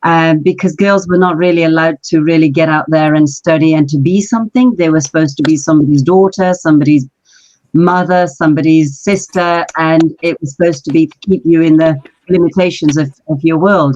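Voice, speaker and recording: With a London accent, a woman talks at a fairly quick pace, fairly low in pitch and fairly even in intonation. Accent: British English, London. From Pakistan, raised in London from age six. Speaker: marketing director, business founder. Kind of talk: podcast interview, life story.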